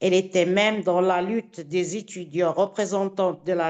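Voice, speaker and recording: A woman with an Italian accent speaks at a very slow pace, medium in pitch, with ordinary pitch variation. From Italy. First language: Italian (speaking French). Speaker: activist audience member. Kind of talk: question at a conference. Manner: halting.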